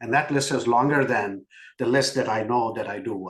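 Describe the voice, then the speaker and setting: A man with an Indian accent, medium pitch, ordinary pitch variation and a moderate pace. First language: not English. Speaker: business executive. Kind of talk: podcast interview.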